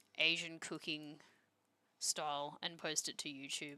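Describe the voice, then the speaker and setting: A woman with an Australian accent, very deep and low in pitch, bright and sharp in tone, at a moderate pace with fairly even intonation. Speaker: streamer. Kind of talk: casual chat.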